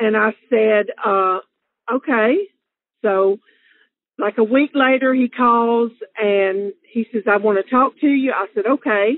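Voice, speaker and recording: A woman with a Southern US accent speaks at a very slow pace with long, frequent pauses, a fairly high pitch, ordinary pitch variation and very even loudness. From Alabama, US South. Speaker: interviewee sharing love story. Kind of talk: personal storytelling. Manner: casual with many fillers.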